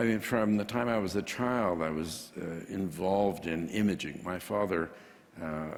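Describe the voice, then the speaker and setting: With a normal speaking voice, a man talks at a moderate pace in a fairly low pitch with ordinary pitch variation. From Canada. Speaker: printing entrepreneur. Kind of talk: interview.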